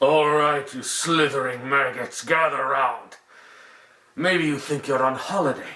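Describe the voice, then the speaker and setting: At a moderate pace, a man does a put-on character voice at a fairly high pitch. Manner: commanding, contemptuous.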